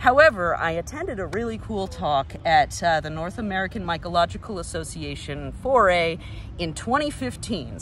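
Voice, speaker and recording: Speech comes at a moderate pace. The sound is dry with no echo, over light background noise. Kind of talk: casual educational vlog talk. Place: forest. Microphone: phone near.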